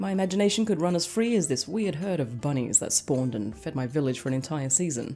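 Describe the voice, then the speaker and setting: Very fast, nearly pauseless speech with very wide pitch swings over background music. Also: woman, very deep, low pitch for a woman. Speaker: game reviewer and novelist. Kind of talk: game review narration.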